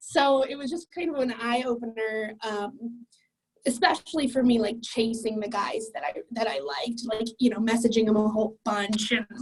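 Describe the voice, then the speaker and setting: The speaker has a Midwestern accent and keeps a moderate pace. Pitch varies in an ordinary way. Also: woman, fairly high pitch for a woman. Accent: American (Midwest). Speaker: client sharing a success story. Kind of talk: interview testimony. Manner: loud; casual, filler-heavy.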